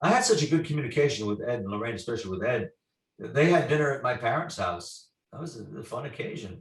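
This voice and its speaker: A man talks at a very fast pace with a somewhat breathy, medium-pitched voice, lively intonation and big swings in loudness. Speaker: paranormal investigator. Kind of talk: storytelling interview.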